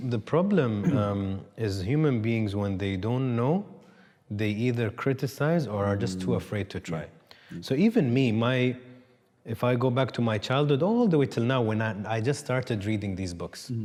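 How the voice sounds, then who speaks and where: At a medium pitch and a moderate pace, a man talks in an unremarkable speaking voice with ordinary pitch variation. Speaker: talk show host. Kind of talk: interview conversation.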